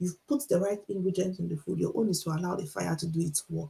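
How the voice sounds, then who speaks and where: A woman with a Nigerian accent speaks at a fairly quick pace. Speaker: author and teacher, motivational speaker. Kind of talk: motivational talk on a livestream. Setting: Instagram live stream.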